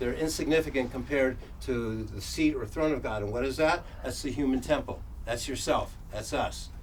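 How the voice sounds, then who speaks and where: A man talks at an average speed in a room whose echo is clearly audible. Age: 70s. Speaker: workshop presenter. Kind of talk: lecture. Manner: halting.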